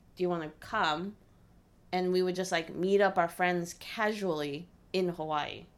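This woman has an ordinary speaking voice, pitched fairly low, with fairly even intonation at a fairly slow pace. The recording is very clean, with a silent background. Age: 30s. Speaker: podcast host's wife, newlywed. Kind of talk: casual chat.

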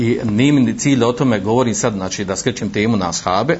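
Very fast speech comes from a man at a medium pitch. His pitch varies in an ordinary way. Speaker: Islamic preacher. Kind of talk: lecture. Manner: halting, frequent fillers.

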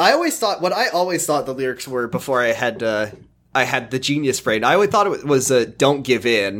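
A man with an American accent has a plain, everyday voice at a medium pitch. His intonation is lively and his pace fairly quick. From US Pacific Northwest. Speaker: podcaster. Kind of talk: casual chat.

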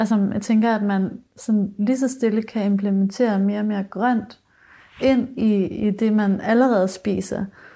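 A woman of medium pitch speaks at a fairly slow pace in a somewhat breathy voice with a dark, mellow tone and monotone, flat intonation. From rural Denmark. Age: 20s. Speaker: musician and singer-songwriter. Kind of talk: casual interview chat.

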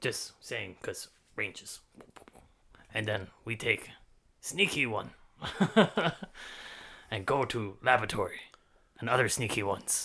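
The speaker uses a put-on character voice broken by long, frequent pauses. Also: man, medium pitch for a man, moderate pace. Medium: actual play. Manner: clipped broken English, short blunt phrases.

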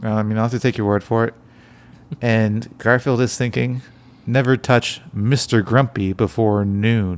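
A man speaks in a normal speaking voice of medium pitch. His intonation is fairly even and his pace moderate. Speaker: podcast host. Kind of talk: casual chat. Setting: recording at night at home.

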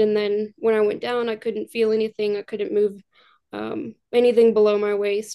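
Her tone is dark and mellow, with a fairly high pitch for a woman. She speaks at a moderate pace in a monotone, flat intonation. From Kentucky, Louisville. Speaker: medical scribe and future medical student, wheelchair user. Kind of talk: interview.

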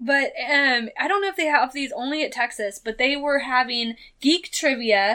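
A woman projects her voice, raised and high-pitched. Her tone is bright and sharp. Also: ordinary pitch variation, moderate pace. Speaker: podcast co-host. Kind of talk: casual chat. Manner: talkative, animated.

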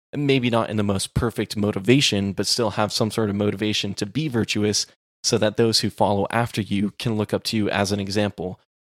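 Recorded dry and close with no echo against a silent background, a man with a normal speaking voice and an American accent talks at a fairly quick pace and fairly low pitch with fairly even intonation. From Texas. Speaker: podcast co-host. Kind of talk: casual discussion.

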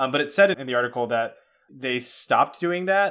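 In an American accent, a man with an ordinary speaking voice talks at a fairly quick pace with ordinary pitch variation. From US, Cantonese-speaking household. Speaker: podcast host. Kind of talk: casual chat.

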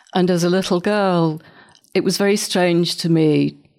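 Over a silent background in a very clean recording, a woman with a northern English accent speaks at a fairly low pitch with monotone, flat intonation. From northern England. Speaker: photographer. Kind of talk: interview conversation. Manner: halting, repeating words.

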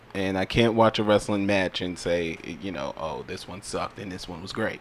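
A man talks at a moderate pace with fairly even intonation. His fairly low pitch comes in a normal speaking voice. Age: 30s. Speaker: podcast co-host. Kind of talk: casual chat.

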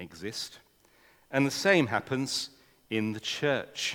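Speaking with an English accent, a man goes at a fairly slow pace. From England. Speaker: mission leader speaking at a church. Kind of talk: talk to a church audience. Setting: church with audience. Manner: informal, chatty.

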